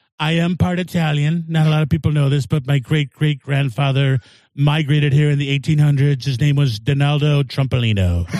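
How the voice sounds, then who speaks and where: Somewhat breathy and fairly high-pitched, a man speaks at a moderate pace with very even loudness and ordinary pitch variation. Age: 50s. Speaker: comedian. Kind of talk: casual chat.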